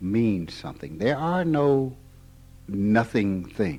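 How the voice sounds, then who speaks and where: Very wide pitch swings mark a man's dark, mellow voice, delivered with an American accent. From Mississippi. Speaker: spiritual teacher. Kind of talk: informal spiritual talk.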